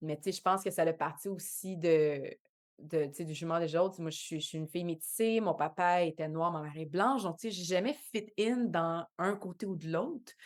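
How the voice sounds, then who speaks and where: A woman talks at a moderate pace with a fairly low pitch and ordinary pitch variation. The recording is very clean, with a silent background. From Quebec, Montreal shore. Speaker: actress and dancer. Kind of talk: podcast interview. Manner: hesitant, many fillers.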